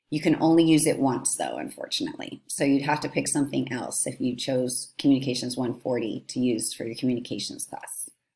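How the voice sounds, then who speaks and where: The speech moves at a fairly quick pace with hardly any pauses. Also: woman. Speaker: college counselor. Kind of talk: tutorial.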